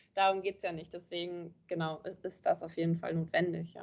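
This is a woman speaking. Her pace is moderate. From northern Germany, Kiel. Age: 20s. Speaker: social media marketing coach. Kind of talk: interview. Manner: hesitant, many filler sounds.

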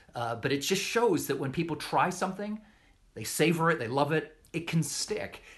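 A man with a normal speaking voice, fairly high in pitch, with lively intonation. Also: moderate pace. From Western Canada. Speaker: writer, journalist. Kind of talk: casual conversation. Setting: video call.

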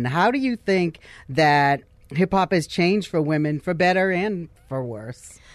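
Her voice sits at a fairly low pitch as this woman talks. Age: 20s. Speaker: radio host. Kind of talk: interview. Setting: studio.

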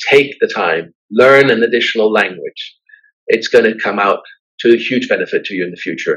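A man speaks with a Danish accent. His pace is moderate. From Denmark, raised abroad in diplomatic postings. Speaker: business executive and university trustee chair. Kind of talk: interview. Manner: hesitant with fillers and repetitions.

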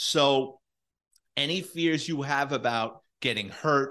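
Against a quiet background, a speaker with a New York accent uses lively intonation and a bright, sharp tone. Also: man. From New York City. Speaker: retired police detective and author. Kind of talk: storytelling interview.

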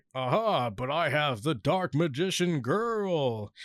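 Putting on a booming character voice, a man with a fairly high pitch speaks at a fairly slow pace. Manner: triumphant, exclaiming.

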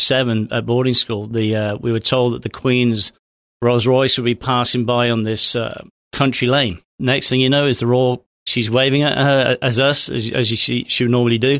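This man has a southern English accent and a medium pitch. His intonation is monotone and flat. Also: very clean recording, silent background. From southern England (Hampshire). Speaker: former police officer. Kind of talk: casual chat.

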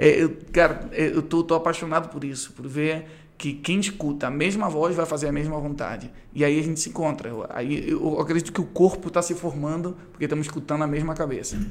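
A man with an ordinary speaking voice talks at a fairly quick pace, his pitch fairly high and his intonation fairly even. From Brazil, Rio de Janeiro. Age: 30s. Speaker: pastor and worship leader. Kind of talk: casual interview.

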